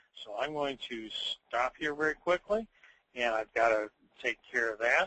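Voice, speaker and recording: Using an ordinary speaking voice, a man talks at a medium pitch and a moderate pace with lively intonation. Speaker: software demonstrator. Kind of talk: live software demonstration.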